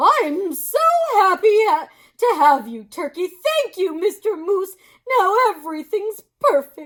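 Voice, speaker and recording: A woman uses a put-on character voice at an extremely high pitch. Her pitch swings very widely. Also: fairly slow pace. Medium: read story. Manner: kind, gentle.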